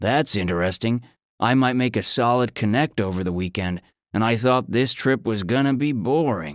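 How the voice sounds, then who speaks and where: A man's put-on character voice at medium pitch and moderate pace, on a very clean recording with a silent background. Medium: read story. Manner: rude, impatient, dismissive.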